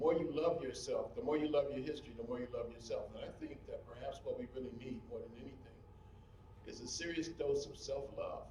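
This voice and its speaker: Big swings in loudness mark this man's fairly quick delivery. The recording carries audible room echo and noticeable background noise. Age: 60s. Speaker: historian lecturer. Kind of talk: public lecture. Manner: animated.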